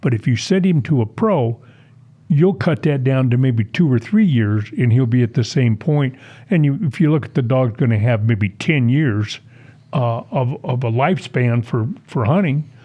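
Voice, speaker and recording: A man's medium-pitched, somewhat breathy voice with lively intonation. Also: moderate pace. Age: 70s. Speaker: veteran waterfowl hunter and dog owner. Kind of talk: podcast interview. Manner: halting, many fillers.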